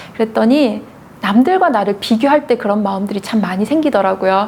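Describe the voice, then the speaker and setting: A fairly quick pace with ordinary pitch variation, over noticeable background noise. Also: woman. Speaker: news anchor. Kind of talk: interview. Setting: seated in wheelchair.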